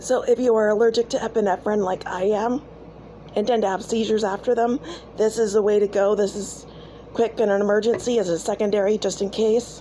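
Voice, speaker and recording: Speaking at a fairly quick pace, a woman uses a fairly high pitch with monotone, flat intonation. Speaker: homesteading channel host. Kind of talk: tutorial. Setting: outdoors in the woods. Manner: casual, conversational.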